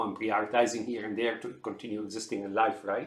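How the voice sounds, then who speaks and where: Audible room echo surrounds a man with an American accent. He talks at a fairly quick pace and medium pitch. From outside the US. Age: 60s. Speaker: computer engineer sharing health observations. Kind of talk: unscripted monologue. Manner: halting, many fillers and repetitions.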